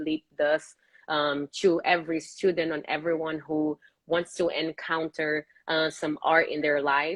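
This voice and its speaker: Speaking at a moderate pace in a Brazilian accent, a woman uses a fairly low pitch. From Brazil, Rio de Janeiro. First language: Portuguese. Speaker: professional ballet dancer. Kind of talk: interview.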